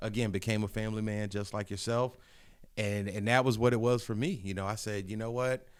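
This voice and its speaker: Recorded very cleanly against a silent background, a man with a normal speaking voice talks at a fairly quick pace with fairly low pitch and fairly even intonation. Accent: American. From Hampton Roads, Virginia. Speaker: podcast host. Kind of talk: casual interview.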